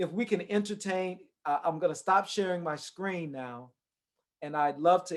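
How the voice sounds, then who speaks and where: A man speaks in a Southern US accent at a moderate pace. His pitch is high, with ordinary variation. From US South. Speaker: redistricting expert presenter. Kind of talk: workshop presentation.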